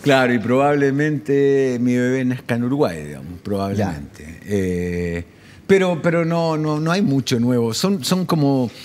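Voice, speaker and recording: A man talks at a fairly slow pace. His pitch moves in very wide swings. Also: medium pitch for a man. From Chile. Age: 50s. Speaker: journalist, correspondent and radio host. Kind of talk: interview answer.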